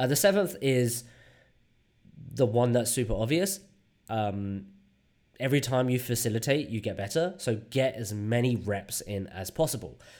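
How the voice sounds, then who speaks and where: This man has a normal speaking voice with a medium pitch and lively intonation. He talks at a moderate pace. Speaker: UX design leader and workshop facilitator. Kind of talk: interview. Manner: casual, many fillers.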